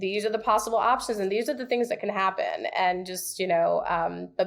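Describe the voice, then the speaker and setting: A woman's medium-pitched, fairly quick speech in an American accent, an ordinary speaking voice with ordinary pitch variation. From New York City. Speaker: real estate agent. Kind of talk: podcast interview.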